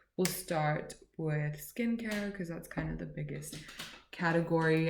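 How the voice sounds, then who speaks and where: In a room with audible echo, a woman speaks at a fairly slow pace in a somewhat breathy voice, her pitch fairly low with ordinary variation. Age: 20s. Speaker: beauty and lifestyle vlogger. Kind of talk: casual haul vlog. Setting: at home, at midnight. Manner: chatty, rambling. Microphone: laptop recording.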